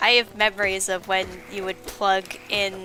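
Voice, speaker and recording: Quiet and fairly slow, a woman speaks in a medium pitch with monotone, flat intonation while music plays in the background. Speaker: video game streamer. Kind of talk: casual live-stream chat.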